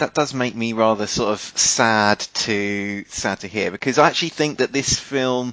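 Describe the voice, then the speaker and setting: He talks at a fairly slow pace in a normal speaking voice. His pitch sits in the medium range and varies in an ordinary way. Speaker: podcast host. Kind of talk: casual chat, podcast banter.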